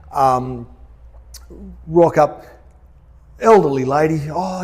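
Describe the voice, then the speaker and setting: Here a man speaks with an Australian accent. His pitch sits fairly high. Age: 50s. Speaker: pastor. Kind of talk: stage interview. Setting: church stage with audience. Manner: hesitant, many ums.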